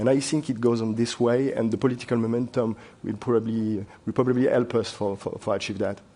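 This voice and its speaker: A man with a French accent talks at a very fast pace in a dark, mellow voice. His pitch is medium and his intonation monotone and flat. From France. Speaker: wealth manager. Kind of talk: panel discussion. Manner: halting.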